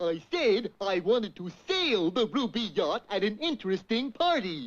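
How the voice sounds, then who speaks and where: A cartoonish character voice, fairly high in pitch, at a moderate pace. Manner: goofy, slow-witted.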